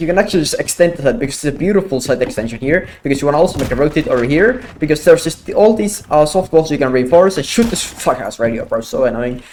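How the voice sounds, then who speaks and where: Talking at a very fast pace with hardly any pauses, a man uses a fairly high pitch and lively intonation over noticeable background noise. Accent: non-native. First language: not English. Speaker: gaming content creator. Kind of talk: gameplay tutorial. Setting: home, with wife sleeping in next room. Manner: quiet, held down.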